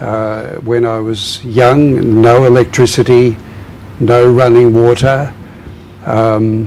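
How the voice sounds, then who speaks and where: Amid noticeable background noise, a man in an Australian accent talks at a very slow pace, with medium pitch and fairly even intonation. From southern Australia, dairy farm. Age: 80s+. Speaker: former priest, reconciliation worker. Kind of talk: interview.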